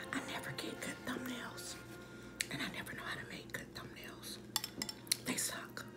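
Over loud music in the background, a woman speaks at a moderate pace with long, frequent pauses. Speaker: ASMR food reviewer. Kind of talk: ASMR food review. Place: home room. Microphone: phone near.

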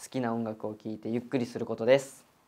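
Dark and mellow, this is a man's voice. His pitch varies in an ordinary way. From Japan, Kanagawa; Japan. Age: 20s. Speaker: audition contestant. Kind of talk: self-introduction. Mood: calm, friendly, slightly shy. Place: studio.

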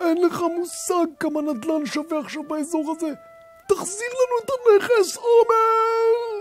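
A put-on character voice over clear music in the background. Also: man. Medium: audio drama. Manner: frantic, accusing.

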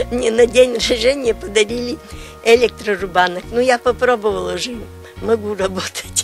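Clear music sits in the background, and the sound is dry with no echo. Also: woman. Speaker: retired kindergarten teacher, home craftswoman. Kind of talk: casual interview answer to a reporter. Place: garden.

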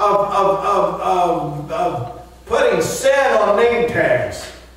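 Lively intonation rings out through strong room echo. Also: man. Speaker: pastor. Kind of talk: sermon. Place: church.

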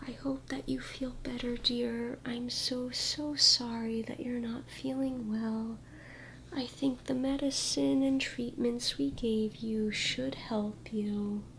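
Whispering at a very slow pace, a soft-spoken voice carries a soothing tone over light background noise. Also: woman. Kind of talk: soft-spoken role-play to the viewer. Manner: soft, soothing ASMR near-whisper. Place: home room.

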